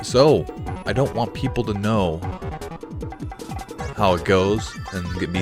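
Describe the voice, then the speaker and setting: Over music in the background, a man talks at a fairly slow pace with long, frequent pauses and a fairly low pitch. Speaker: gaming video host. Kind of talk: casual commentary to camera.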